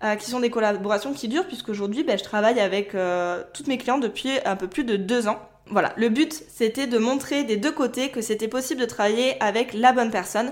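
A woman with an ordinary speaking voice, fairly high in pitch, at a fairly quick pace with ordinary pitch variation. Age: 20s. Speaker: podcast host and virtual assistant. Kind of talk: solo podcast monologue.

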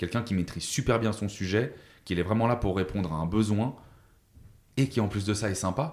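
On a very clean recording with a silent background, a man talks at a fairly quick pace and fairly low pitch with ordinary pitch variation and long, frequent pauses. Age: 30s. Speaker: sales coach and entrepreneur. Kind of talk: podcast interview. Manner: casual, hesitant with fillers.

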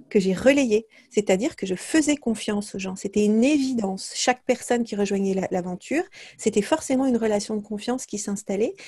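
A woman's somewhat breathy, fairly high voice with ordinary pitch variation at a moderate pace. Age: 40s. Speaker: leadership coach and entrepreneur. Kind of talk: interview conversation. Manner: hesitant, many fillers.

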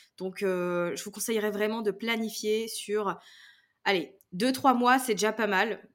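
A woman with a fairly high pitch talks at a very slow pace, her pitch varying in an ordinary way. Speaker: podcasting trainer. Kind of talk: interview. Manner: smiling tone; casual, animated.

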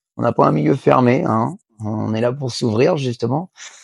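A man speaks at a fairly slow pace with ordinary pitch variation, his voice dry and close with no echo. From western France, Angers. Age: 30s. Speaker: harness racing jockey and trainer. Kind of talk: interview. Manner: halting, many fillers and repetitions.

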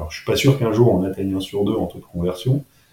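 The speaker is a man. His pitch runs fairly low. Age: 40s. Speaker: entrepreneur. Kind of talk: interview. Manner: halting, many fillers and repetitions.

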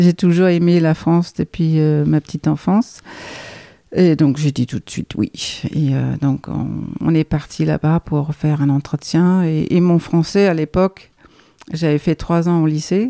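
The speaker talks at a fairly slow pace in a Danish accent. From Denmark, Copenhagen. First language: Danish (speaking French). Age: 50s. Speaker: guesthouse owner. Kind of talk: casual chat. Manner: halting.

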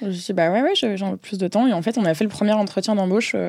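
At a medium pitch and with fairly even intonation, this woman has an unremarkable speaking voice. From southern France, Marseille. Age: 20s. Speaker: in-house legal counsel. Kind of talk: interview. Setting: studio.

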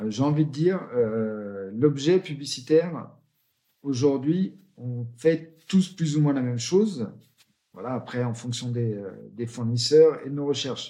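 A man's very slow, medium-pitched delivery, dark and mellow in tone, with lively intonation. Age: 40s. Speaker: founder of a promotional products agency. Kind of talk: interview.

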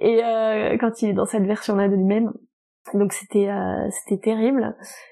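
A woman talks at a moderate pace in a normal speaking voice. Her intonation stays fairly even. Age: 30s. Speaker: novelist and publisher. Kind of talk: casual interview.

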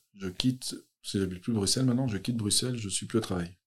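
A dark, mellow tone at a very fast pace, with fairly even intonation. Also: man. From Belgium, Brussels. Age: 30s. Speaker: youth social worker. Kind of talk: interview testimony. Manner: hesitant.

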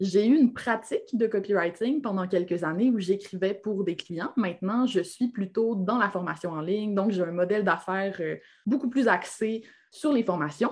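A woman at a moderate pace, with a Quebec accent. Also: medium pitch for a woman, ordinary pitch variation. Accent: Québécois. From Quebec, Lac-Saint-Jean (Alma). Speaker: copywriter and entrepreneur. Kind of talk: interview conversation.

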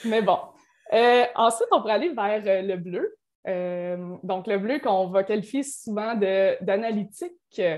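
A woman speaks very slowly. Her voice sits fairly high. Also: ordinary pitch variation. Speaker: certified coach. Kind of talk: podcast interview.

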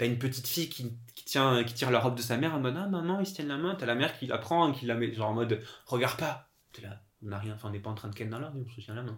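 This man talks very fast in a somewhat breathy, medium-pitched voice, with ordinary pitch variation and big swings in loudness. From Corsica. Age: 20s. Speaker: podcast guest. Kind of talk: casual chat. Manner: hesitant, many fillers.

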